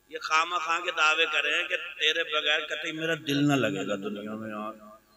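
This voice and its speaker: Noticeable background noise runs under this clip. A man talks over it with lively intonation. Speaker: Islamic preacher giving a sermon. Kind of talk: Islamic sermon (taqreer) delivered to a live audience. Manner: humorous, emotional, preaching.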